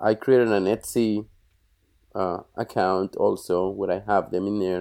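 A man with a Colombian accent, in a monotone, flat delivery broken by long, frequent pauses. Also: very clean recording, silent background. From Colombia (Bogota). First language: Spanish. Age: 40s. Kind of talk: interview, casual conversation.

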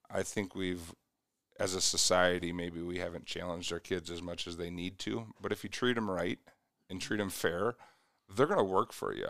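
Very deep, low male voice in an American accent, moderate in pace with fairly even intonation, on a very clean recording with a silent background. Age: 40s. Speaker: youth basketball coach. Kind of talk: casual interview.

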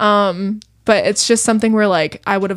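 Using an unremarkable speaking voice at a medium pitch, a woman talks at a fairly quick pace. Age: 20s. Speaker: podcast guest, host's partner. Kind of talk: casual chat.

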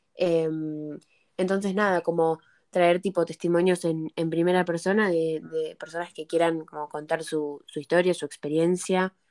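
In a dry, close recording with no echo, a woman with a fairly low pitch speaks slowly and in a flat monotone. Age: young. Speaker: podcast co-host. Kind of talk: casual chat. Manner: halting, repeats words.

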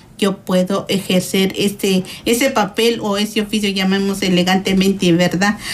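A woman talks at a fairly slow pace and medium pitch, somewhat breathy. Her loudness stays very even. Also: fairly even intonation. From Guatemala. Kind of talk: radio interview.

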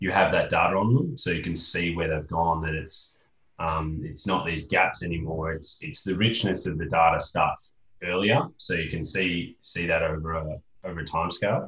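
With an Australian accent, the speaker talks at a moderate pace with ordinary pitch variation. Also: man, very deep, low pitch for a man. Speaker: podcast host and interviewer. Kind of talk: podcast interview.

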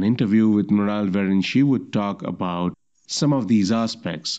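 With a dark, mellow tone and lively intonation, the voice moves at a moderate pace over a quiet background. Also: man. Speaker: podcast host. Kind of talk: solo news roundup podcast.

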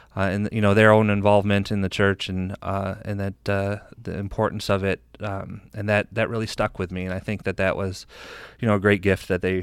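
An ordinary speaking voice from a man with an American accent and fairly low pitch, at a moderate pace. The recording is very clean, with a silent background. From US Midwest, Jackson, Michigan. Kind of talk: casual interview.

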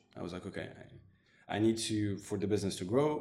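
Audible room echo surrounds the voice. The speaker is a man with a fairly low pitch. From Morocco, then Montreal as a teenager. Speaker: digital agency owner. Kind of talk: interview. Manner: hesitant, many fillers.

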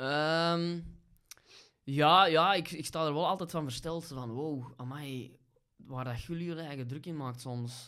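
A man's bright, sharp voice at a very slow pace, with ordinary pitch variation. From Belgium, Kempen (Vosselaar). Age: 30s. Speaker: stand-up comedian. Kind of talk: casual chat.

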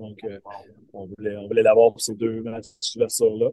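Moving at a fairly quick pace, a man talks in a dark, mellow tone with monotone, flat intonation. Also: dry, close sound with no echo. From Quebec, Eastern Townships (Waterville). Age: 40s. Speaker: baseball coach. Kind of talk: interview. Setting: video call from a bus.

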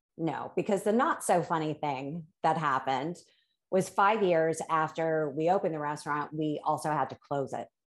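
A plain, everyday voice from a woman, fairly low in pitch with ordinary pitch variation, at a moderate pace against a quiet background. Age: 50s. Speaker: life coach. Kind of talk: casual interview chat.

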